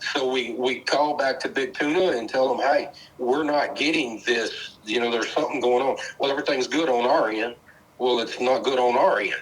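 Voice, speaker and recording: Against noticeable background noise, a man speaks fairly quickly at medium pitch with fairly even intonation. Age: 60s. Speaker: master electrician. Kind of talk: sales call conversation.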